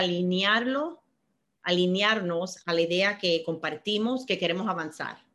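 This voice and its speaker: A woman talks fairly slowly, her pitch shifting in an ordinary way. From Miami, US (born in Cuba). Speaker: banking executive. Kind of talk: interview. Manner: halting, frequent fillers and repetitions.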